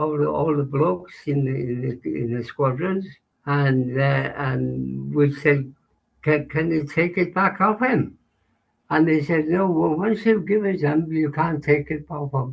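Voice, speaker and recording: Somewhat breathy, a man speaks in a fairly high pitch. His pitch varies in an ordinary way. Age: 80s+. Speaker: army veteran. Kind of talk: interview answer.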